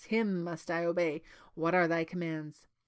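Using a put-on character voice, a woman speaks at a moderate pace with a fairly low pitch. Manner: commanding, fearsome.

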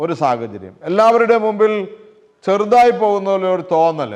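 Lively intonation from a man. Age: 60s. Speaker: lay preacher. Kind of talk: sermon.

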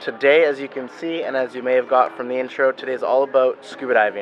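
Faint music plays in the background as a man speaks. His pace is fairly quick and his intonation fairly even. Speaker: resort activity host vlogger. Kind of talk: casual vlog chat. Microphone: phone near.

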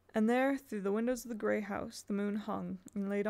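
The reading voice sounds natural.

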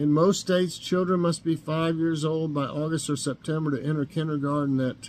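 A man with an Appalachian accent and ordinary pitch variation. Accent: Appalachian Southern US. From Northeast Tennessee. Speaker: YouTube vlogger. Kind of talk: casual morning chat vlog. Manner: halting, many fillers. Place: kitchen. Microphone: webcam.

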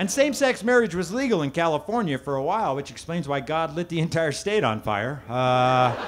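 Over light background noise, a man talks at a fairly quick pace with hardly any pauses, his pitch swinging very widely. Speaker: stand-up comedian. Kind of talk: stand-up comedy routine. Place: stage.

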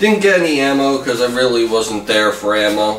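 A man speaks at a moderate pace. Room echo is audible, along with light background noise. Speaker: hobbyist vlogger. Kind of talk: casual vlog chat. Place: home room. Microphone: camera far.

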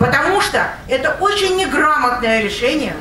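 Raised and projected, the voice moves at a moderate pace with very wide pitch swings, heard with audible room echo and light background noise. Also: woman. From Russia. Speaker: residents' council member. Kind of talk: public hearing speech. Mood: critical, earnest. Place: hall.

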